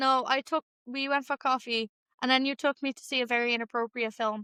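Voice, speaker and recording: A woman's high, bright, sharp voice, raised and projected, with a Dublin accent, fairly even intonation, a moderate pace and a dry, close sound with no echo. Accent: Dublin, noticeable. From Ireland, Dublin (Clondalkin). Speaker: podcast co-host. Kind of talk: casual chat. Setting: at home, apartment.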